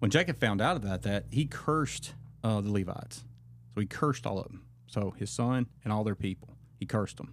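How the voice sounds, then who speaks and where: Lively intonation and vocal fry mark this man's fairly low-pitched voice. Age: 40s. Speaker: men's ministry leader. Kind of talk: casual chat.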